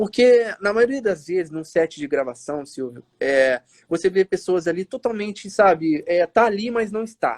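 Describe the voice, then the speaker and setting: Recorded with a dry, close sound and no echo, a man speaks in a high pitch at a fairly slow pace with hardly any pauses. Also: lively intonation. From Minas Gerais, Brazil (Matias Barbosa, near Juiz de Fora). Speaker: actor. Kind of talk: interview on a live stream. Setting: live video stream.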